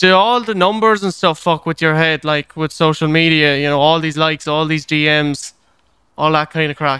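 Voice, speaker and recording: A man with an Irish accent talks at a moderate pace in a fairly high pitch, his tone bright and sharp. Intonation is fairly even, on a very clean recording with a silent background. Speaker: podcast host. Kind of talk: casual interview chat.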